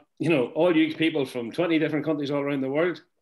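Against a quiet background, a man talks with ordinary pitch variation. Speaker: senior network marketing mentor. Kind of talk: motivational talk. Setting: video call. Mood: warm, proud. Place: home room. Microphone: webcam.

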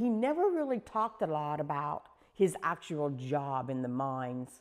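Speaking in an Ohio accent, a woman has a very deep, low pitch. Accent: Southeast Ohio American. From Corning, Ohio. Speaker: volunteer storyteller. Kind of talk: oral history interview. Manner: casual, conversational.

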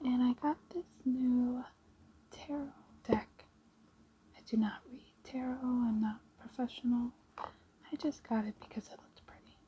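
The speaker talks fairly slowly in a soft-spoken, gentle, relaxed tone, with long, frequent pauses. Light background noise is present. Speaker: ASMR creator. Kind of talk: ASMR show and tell, casual talk to camera. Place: home room. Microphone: phone near.

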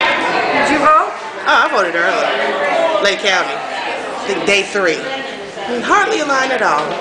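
The speaker goes at a fairly slow pace with long, frequent pauses over loud background noise. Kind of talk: casual interview with family and neighbors. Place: hall. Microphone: phone near.

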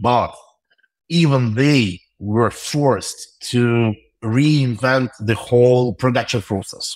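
Speaking very slowly with a Russian accent, a man keeps his loudness very even. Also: medium pitch for a man, ordinary pitch variation, very clean recording, silent background. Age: 30s. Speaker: tech entrepreneur. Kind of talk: interview. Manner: halting.

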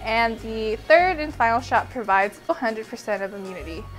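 Over music in the background, a woman speaks at a moderate pace with lively intonation. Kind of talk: vlog narration.

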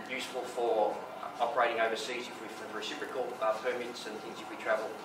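Amid clear background noise and audible room echo, the speaker talks at a fast pace with little pitch movement. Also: man.

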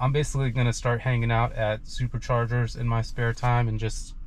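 The speaker's voice is somewhat breathy and fairly quick, with monotone, flat intonation. Loudness stays very even, over light background noise. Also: man, dry sound with no echo. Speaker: car owner reviewing an update. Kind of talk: casual vlog chat. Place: car. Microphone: phone near.

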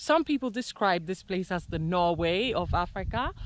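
Over light background noise, a woman speaks at a moderate pace with lively intonation, the sound dry with no echo. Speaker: travel vlogger. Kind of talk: casual vlog chat. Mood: excited, awed. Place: open country. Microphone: phone near.

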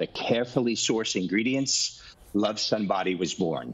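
A man speaks in a fairly low voice at a moderate pace. His pitch rises and falls in an ordinary way. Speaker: doctor and sunscreen brand founder; guest. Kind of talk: product demonstration. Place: home room. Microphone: video call.

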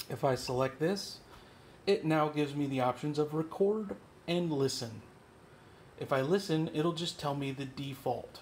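Long, frequent pauses break up a man's somewhat breathy speech at a moderate pace. His pitch varies in an ordinary way, and there is light background noise. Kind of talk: tutorial. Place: office. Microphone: phone near.

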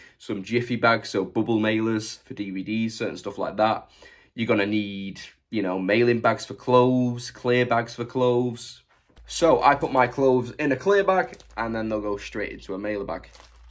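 At a moderate pace, he speaks with pitch that varies in an ordinary way. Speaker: online reseller. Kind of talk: tutorial. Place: workshop. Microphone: phone near.

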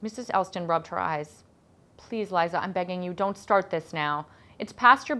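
The reading voice sounds unforced. Pitch moves in an ordinary way.

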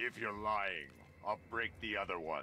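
A man puts on a gravelly, raspy character voice at a fairly low pitch. He speaks at a moderate pace over clear background noise. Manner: menacing.

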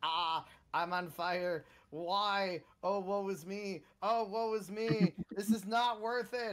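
A man puts on a whiny character voice, high-pitched and at a very slow pace. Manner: panicked, whiny, semi-monotone.

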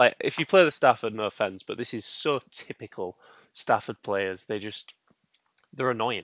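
A man at a moderate pace, a dry sound with no echo, a quiet background. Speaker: chess streamer. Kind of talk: commentary while playing online chess. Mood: mildly annoyed, relaxed. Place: home room. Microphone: headset.

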